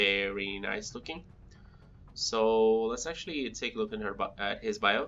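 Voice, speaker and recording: With music in the background, the speaker talks at a moderate pace in a non-native accent. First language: not English. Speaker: gaming youtuber. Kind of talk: casual let's play commentary. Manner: halting, many fillers.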